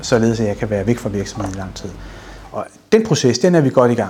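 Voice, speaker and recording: A man at medium pitch, with noticeable background noise. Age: 50s. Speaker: business owner. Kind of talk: interview.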